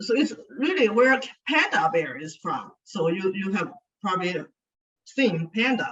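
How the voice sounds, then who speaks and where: Somewhat breathy and medium in pitch, a woman with a Chinese accent speaks at a fairly slow pace with lively intonation. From China (Sichuan). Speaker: speaker, education consultant. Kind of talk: speech to an audience.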